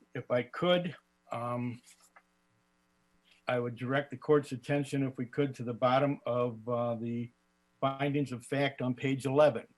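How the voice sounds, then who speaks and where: Pausing long and often, a man of medium pitch talks at a fairly slow pace. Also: fairly even intonation. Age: 60s. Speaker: lawyer defending himself. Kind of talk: oral argument before court.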